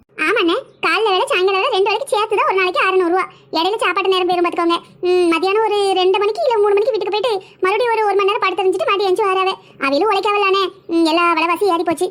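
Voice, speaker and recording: A woman performs a cartoonish character voice at an extremely high pitch, very fast, with very even loudness. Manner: chatty, practical, rural colloquial.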